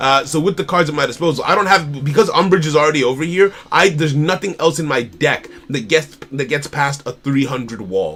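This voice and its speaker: A man's animated tone at a fairly quick pace, with hardly any pauses, ordinary pitch variation and noticeable background noise. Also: fairly high pitch for a man. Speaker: indie card game developer streamer. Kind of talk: live stream commentary.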